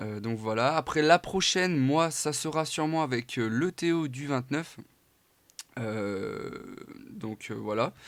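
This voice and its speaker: A man with a fairly high pitch and lively intonation, speaking at a very slow pace broken by long, frequent pauses. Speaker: gaming YouTuber. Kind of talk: gameplay commentary. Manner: hesitant, many fillers.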